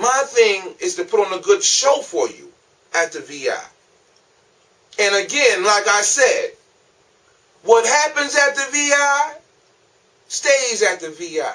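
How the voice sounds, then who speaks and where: In a raised, projected voice, a man speaks at an extremely high pitch with very wide pitch swings and big swings in loudness. His pace is fairly slow, with long, frequent pauses. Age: 40s. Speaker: comedian. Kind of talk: casual monologue to camera. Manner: casual.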